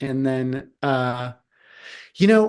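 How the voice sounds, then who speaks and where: This is a man speaking. The background is quiet. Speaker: government relations presenter. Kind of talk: presentation to city council. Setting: council meeting. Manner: halting, many fillers.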